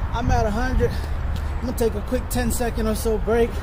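Over loud background noise, a man speaks at a moderate pace. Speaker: fitness vlogger. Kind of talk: casual workout vlog chat. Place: street.

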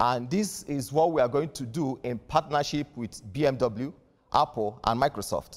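A man's fairly slow, lively intonation over a quiet background. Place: studio. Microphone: lapel.

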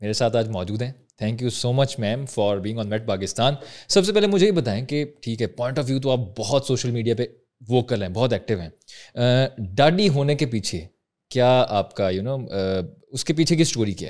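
A man speaks in an ordinary speaking voice at a moderate pace, his intonation lively. The recording is very clean, with a silent background. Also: medium pitch for a man. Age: 20s. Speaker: podcast host. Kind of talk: interview.

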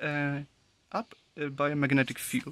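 Speaking at a fairly slow pace with a non-native accent, a man with a fairly high pitch is heard in a dry recording with no echo. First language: German. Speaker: electronics hobbyist. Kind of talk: unscripted technical demo talk to camera. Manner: hesitant, many filler words. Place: workshop. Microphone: phone near.

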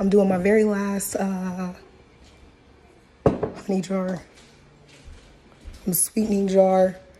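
A woman's very slow, flat, monotone speech with long, frequent pauses over noticeable background noise. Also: medium pitch for a woman. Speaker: spiritual practice vlogger. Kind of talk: casual vlog. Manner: halting.

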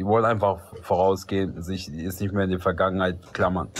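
The man's pitch is fairly low. He talks at a fairly quick pace. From Albanian background. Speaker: livestream participant; live stream host. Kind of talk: casual debate. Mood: calm, earnest. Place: home room. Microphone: phone near.

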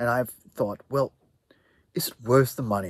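A man speaks with lively intonation and a somewhat breathy sound, recorded dry with no echo. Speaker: video maker reviewing microphones. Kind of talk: casual review chat. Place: garden.

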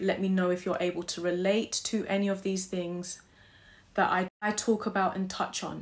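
A woman speaks at a moderate pace. Her voice is somewhat breathy and medium in pitch. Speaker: author promoting own ebook. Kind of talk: casual vlog announcement. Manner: laughing, stumbling over words. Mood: calm, earnest, thankful. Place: home room.

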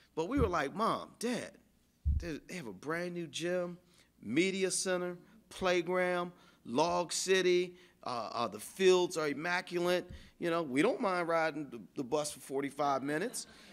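A man with a high voice speaks at a fairly slow pace, his pitch varying in an ordinary way while his loudness swings widely against a quiet background. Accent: American. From Arlington, Virginia; Virginia. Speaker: storyteller. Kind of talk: oral history storytelling. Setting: storytelling workshop. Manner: halting, many fillers and repeats. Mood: reflective, warm. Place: meeting room. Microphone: podium.

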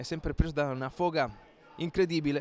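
A man with an ordinary speaking voice talks at a fairly quick pace and fairly high pitch with ordinary pitch variation. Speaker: rugby match commentator. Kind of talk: live rugby commentary. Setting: stadium press box, live match. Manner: fast, rapid-fire play-by-play; excited, rising intensity on tries.

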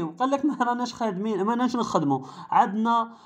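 Against a quiet background, the speaker talks at a moderate pace in an animated tone with an Algerian accent. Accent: Algerian Arabic (Darija). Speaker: car channel YouTuber. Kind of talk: commentary video monologue.

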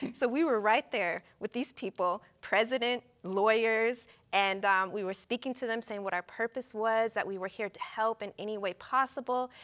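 Against a quiet background, a woman with an American accent speaks at a moderate pace with ordinary pitch variation. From US West. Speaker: physician; talk show guest. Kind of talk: casual chat. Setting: studio. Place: studio. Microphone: lapel.

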